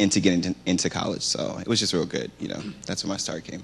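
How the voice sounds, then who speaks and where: A man with an American accent talks at a very fast pace in a very deep, low pitch. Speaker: college student. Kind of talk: panel discussion. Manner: hesitant, many fillers.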